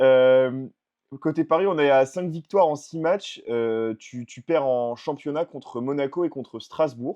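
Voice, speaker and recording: A man at a very slow pace and fairly high pitch, with ordinary pitch variation and big swings in loudness. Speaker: basketball podcast host. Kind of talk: casual sports chat. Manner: hesitant, many fillers.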